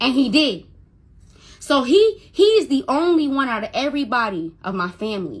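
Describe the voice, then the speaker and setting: Her pitch swings very widely as she speaks. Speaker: Instagram live streamer telling a personal story. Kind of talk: personal storytelling on a livestream. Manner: stutters when upset; emotional, repetitive.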